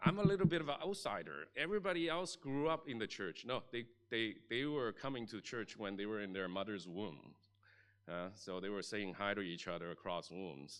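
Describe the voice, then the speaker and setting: Against a quiet background, a man with a Chinese accent talks at a moderate pace, his fairly low pitch making very wide swings. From Chinese-speaking region, moved to Canada at 13. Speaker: pastor. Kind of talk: sermon. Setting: church.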